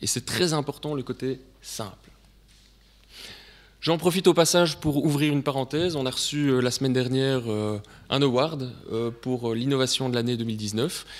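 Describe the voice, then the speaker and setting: Speaking with a Belgian accent at medium pitch, a man keeps a moderate pace and ordinary pitch variation, leaving long, frequent pauses on a very clean recording with a silent background. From Belgium. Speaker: sales director presenting at a conference. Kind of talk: conference presentation. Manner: hesitant, many filler sounds.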